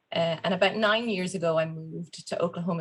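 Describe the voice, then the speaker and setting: At a moderate pace, a woman speaks in a somewhat breathy voice with a fairly low pitch. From Ireland. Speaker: business executive. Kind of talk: panel discussion.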